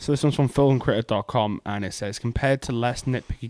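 At a moderate pace, a man with medium pitch and a plain, everyday voice speaks with ordinary pitch variation in a dry, close sound with no echo. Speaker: podcast host. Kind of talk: casual chat.

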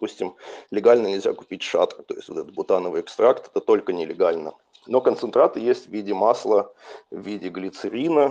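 A man talking at a moderate pace. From Russia. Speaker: cannabis user, emigrant. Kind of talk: casual storytelling.

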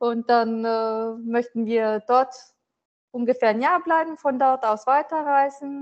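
This woman speaks with a high-pitched voice. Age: 40s. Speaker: business owner. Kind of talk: interview. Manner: halting.

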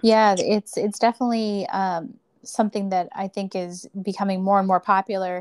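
A woman with an American accent, medium pitch, a moderate pace and monotone, flat intonation, on a very clean recording with a silent background. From rural Pennsylvania, US. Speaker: podcast host. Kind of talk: interview.

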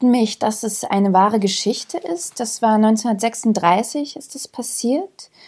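A woman with a dark, mellow tone and fairly high pitch speaks at a very slow pace, with hardly any pauses and big swings in loudness. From Germany, moved from Yugoslavia as small child. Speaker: actress and author. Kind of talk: casual interview.

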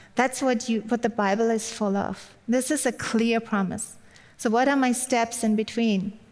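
A woman with a German accent speaks at a moderate pace and a fairly high pitch. Her intonation is fairly even and her loudness very even. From Germany. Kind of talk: sermon. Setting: online video event.

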